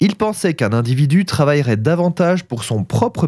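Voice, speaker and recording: Captured on a very clean recording with a silent background, a man speaks at a moderate pace in a fairly high pitch. His dark, mellow tone has vocal fry and very wide pitch swings. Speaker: food history podcaster. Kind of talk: scripted narration.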